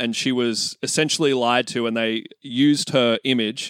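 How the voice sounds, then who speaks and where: The recording is very clean, with a silent background and a dry, close sound with no echo. A man with an Australian accent speaks at a moderate pace and medium pitch, with ordinary pitch variation. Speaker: podcast co-host, guest. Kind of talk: casual chat.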